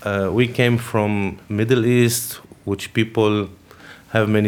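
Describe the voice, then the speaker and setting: A man's fairly low voice in an Arabic accent, very slow, with monotone, flat intonation. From Lebanon. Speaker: refugee carpenter. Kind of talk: interview.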